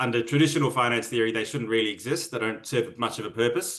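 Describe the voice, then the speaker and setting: With an Australian accent, a man talks at a very fast pace. His pitch is medium, with ordinary variation. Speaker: MBA student. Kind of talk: interview. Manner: hesitant, filler-heavy.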